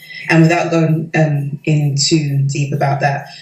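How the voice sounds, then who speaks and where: A woman with a London accent speaks at a very deep, low pitch and a fairly slow pace, with monotone, flat intonation and audible room echo. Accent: London British. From London, England. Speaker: doctoral researcher. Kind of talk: interview testimonial. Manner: hesitant, many fillers.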